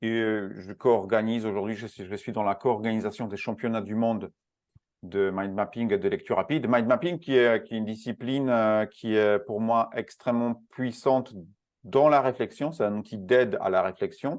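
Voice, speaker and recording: In a quiet setting, a man with a Polish accent talks at a moderate pace with medium pitch and ordinary pitch variation. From Poland. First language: Polish (speaking French). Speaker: speed reading and learning specialist. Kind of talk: interview. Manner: halting, many hesitations.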